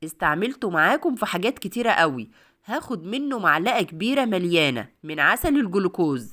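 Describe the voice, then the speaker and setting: Woman with a warm tone at medium pitch, in an Egyptian accent, at a moderate pace with very wide pitch swings, in a very clean recording with a silent background. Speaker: cooking video host. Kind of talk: cooking tutorial. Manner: warm, chatty.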